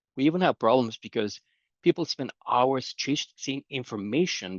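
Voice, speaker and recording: A man with a Romanian accent speaks at a fairly slow pace. His pitch sits in the medium range, and his intonation is lively. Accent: non-Canadian accent, Romanian. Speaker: conference speaker, data governance expert. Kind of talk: conference talk. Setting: conference presentation.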